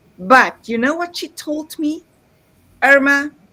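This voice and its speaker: Someone with a non-native accent speaks in a raised, projected voice at a fairly slow pace. The tone is bright and sharp, the intonation lively. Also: woman. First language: not English. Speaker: author and summit co-host. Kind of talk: live stream recap chat. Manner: animated.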